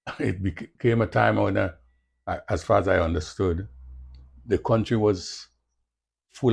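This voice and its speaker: A man's voice with vocal fry at a moderate pace, against a quiet background. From Carriacou, Grenada. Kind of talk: interview answer.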